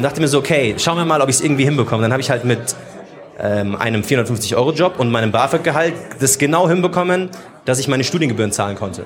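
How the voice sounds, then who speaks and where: Over noticeable background noise and audible room echo, a man talks very fast at a medium pitch with lively intonation and very even loudness. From Munich, Germany. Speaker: social media host and podcaster. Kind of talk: casual chat. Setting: live recording in a theatre foyer with audience.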